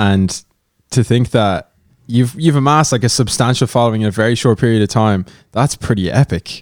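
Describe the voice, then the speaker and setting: With ordinary pitch variation, a normal speaking voice goes along at a fairly quick pace. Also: man, medium pitch for a man, very even loudness, dry, close sound with no echo. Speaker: podcast co-host. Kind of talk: casual podcast chat.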